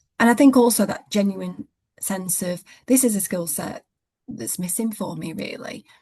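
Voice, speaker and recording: The voice has a dark, mellow tone with vocal fry and ordinary pitch variation. Its loudness swings widely. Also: woman, medium pitch for a woman. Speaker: head of a legal department, coaching client. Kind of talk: interview. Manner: fast.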